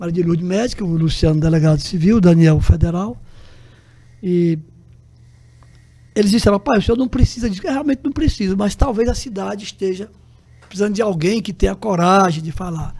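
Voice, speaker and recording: A man with a high voice speaks at a fairly quick pace, his tone dark and mellow. His intonation is lively, broken by long, frequent pauses. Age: 70s. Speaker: journalist. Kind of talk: interview.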